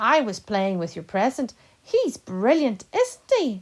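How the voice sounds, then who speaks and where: Using a put-on character voice, a woman speaks in a warm tone at a fairly slow pace and a fairly high pitch. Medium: read story. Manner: eager, warm.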